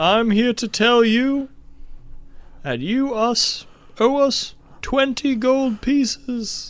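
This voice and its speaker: A man's put-on character voice, extremely high-pitched and cheerful in tone, very slow in pace, with fairly even intonation. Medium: actual play. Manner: oddly hollow and cheerful.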